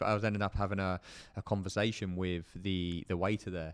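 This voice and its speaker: A man with a very deep, low pitch speaks in a southern English accent, with fairly even intonation. The recording is very clean, with a silent background. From southern England, Portsmouth. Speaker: podcast co-host. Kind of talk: casual chat.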